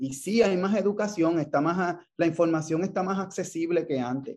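High male voice with lively intonation, in a Puerto Rican accent. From Puerto Rico, Ponce. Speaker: endocrinologist. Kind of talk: interview. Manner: halting.

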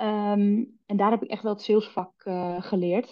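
A woman's medium-pitched voice at a fairly slow pace, with monotone, flat intonation. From West-Friesland, Noord-Holland. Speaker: sales trainer and entrepreneur. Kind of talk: podcast interview.

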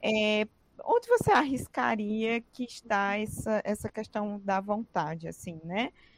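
A woman's fairly high voice at a very slow pace, with ordinary pitch variation and a dry, close sound free of echo. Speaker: podcast host. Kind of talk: interview.

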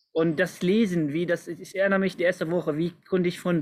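High-pitched male voice in an Arabic accent, with fairly even intonation. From Palestine, Nablus. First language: Arabic (speaking German). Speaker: community volunteer and youth worker. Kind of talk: casual interview chat. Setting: video call, outdoors. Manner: halting, many fillers.

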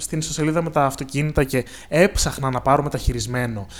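At a fairly quick pace, a man with an ordinary speaking voice talks with ordinary pitch variation. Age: 20s. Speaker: podcast co-host. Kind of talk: casual chat.

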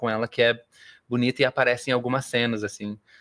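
A man with a medium pitch speaks in a plain, everyday voice. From Porto Alegre, southern Brazil. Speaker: musical theatre actor. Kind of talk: interview.

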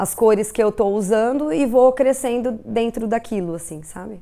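A woman's fairly high, dark and mellow voice with fairly even intonation, in a very clean recording over a silent background. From Brazil, interior of São Paulo state (Tupã). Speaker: street artist. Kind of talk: documentary interview. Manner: reflective, with hesitations.

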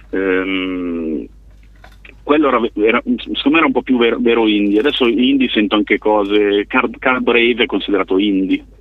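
Noticeable background noise sits behind a man with a fairly low pitch and ordinary pitch variation. He keeps a moderate pace at a very even loudness. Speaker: bassist in a band. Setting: phone call.

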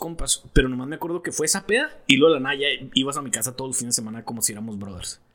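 A man's intonation stays lively while noticeable background noise runs behind his voice. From Mexico. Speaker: podcast co-host. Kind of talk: casual chat. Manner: animated.

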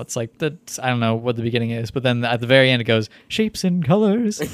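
Very fast pace from a man, intonation fairly even. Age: 20s. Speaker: podcast co-host. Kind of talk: casual chat.

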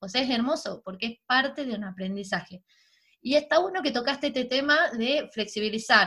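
A woman speaks with a high pitch and lively intonation. She moves at a fairly quick pace. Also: very clean recording, silent background. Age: 30s. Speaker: podcast host and mother. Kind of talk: casual interview.

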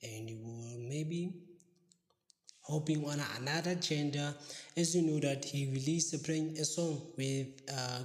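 A somewhat breathy man at a fairly high pitch, with fairly slow pace, fairly even intonation and audible room echo. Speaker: podcast host. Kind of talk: casual news roundup.

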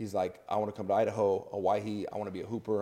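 The voice belongs to a man. His recording is very clean, the background silent. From Portland. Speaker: basketball podcast co-host. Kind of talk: casual chat. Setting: living room.

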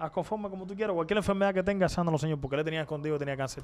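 Pitched high, a man speaks at a very fast pace. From Cuba, Havana. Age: 20s. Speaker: pastor. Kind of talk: interview testimony.

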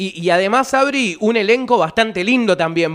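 A man speaks at a moderate pace with lively intonation in a Rioplatense accent. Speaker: radio host. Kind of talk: radio interview. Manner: animated.

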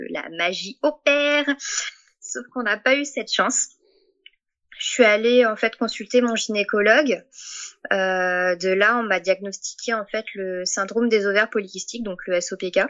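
Speaking fairly slowly, a woman keeps her voice at a medium pitch and varies it in an ordinary way. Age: 30s. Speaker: patient sharing fertility story. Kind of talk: testimony. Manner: halting, many hesitations.

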